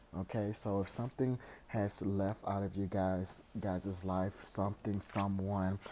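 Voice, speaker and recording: A soft-spoken voice with a dark, mellow tone. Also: man. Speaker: tarot reader. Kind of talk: tarot reading. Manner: halting.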